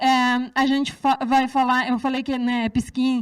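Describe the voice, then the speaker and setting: A woman talking at a moderate pace. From Serbia. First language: Serbian (speaking Portuguese). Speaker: researcher. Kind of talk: lecture. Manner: hesitant, many fillers.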